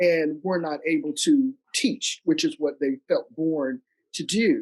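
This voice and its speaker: In an American accent, a woman speaks at a fairly low pitch with very wide swings, recorded dry and close with no echo. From US South, North Carolina. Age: 60s. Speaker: lawyer and leadership consultant. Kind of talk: interview. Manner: halting.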